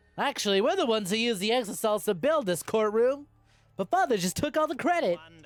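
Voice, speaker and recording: A put-on character voice races along at a very fast pace with a fairly high pitch. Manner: imitating a cartoon bear.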